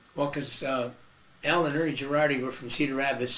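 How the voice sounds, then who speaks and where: The speech comes at a very fast pace in an American accent, with fairly even intonation. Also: man. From Iowa, US Midwest. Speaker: musician and band leader. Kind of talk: oral history interview. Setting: video interview.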